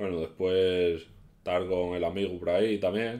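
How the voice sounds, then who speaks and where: With a very deep, low pitch and a dark, mellow tone, a man speaks at a moderate pace with fairly even intonation. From Asturias, Spain. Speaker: YouTuber; youtuber. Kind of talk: casual vlog storytelling. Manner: halting. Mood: relaxed, anecdotal storytelling. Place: home room. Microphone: webcam.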